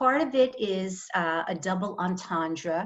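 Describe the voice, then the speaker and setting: A woman talks at a fairly slow pace and a medium pitch. Her intonation is lively. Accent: New York. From New York, Long Island (Five Towns) and Brooklyn. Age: 60s. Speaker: author. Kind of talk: reading aloud; author talk.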